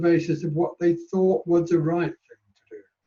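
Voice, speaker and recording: A dark, mellow tone carries a British accent at a fairly quick pace. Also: man. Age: 80s+. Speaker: panel speaker, care leaver. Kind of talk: panel discussion.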